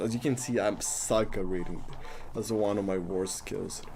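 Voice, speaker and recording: Music plays in the background as a man speaks at a moderate pace in a medium pitch. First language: Spanish. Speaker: coding live streamer. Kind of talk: live coding stream, casual. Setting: live stream. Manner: casual, halting with repetitions.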